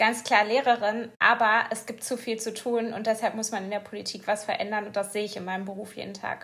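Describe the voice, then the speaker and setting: A woman's fairly high, flat monotone voice at a fairly quick pace, on a very clean recording with a silent background. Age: 20s. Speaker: politician. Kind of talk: interview. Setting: studio.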